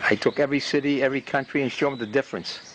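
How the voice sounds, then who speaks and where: A man with a fairly high pitch and a Boston accent, amid noticeable background noise. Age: 80s+. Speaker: community TV videographer. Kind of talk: casual monologue to camera. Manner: halting.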